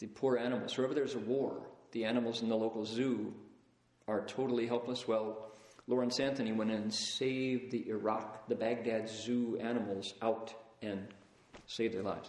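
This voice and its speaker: Amid noticeable background noise, a man with an American accent speaks at a medium pitch in a monotone, flat intonation. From US Midwest, Toledo, Ohio. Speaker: Buddhist teacher. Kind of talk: lecture. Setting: lecture hall with live audience. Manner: conversational.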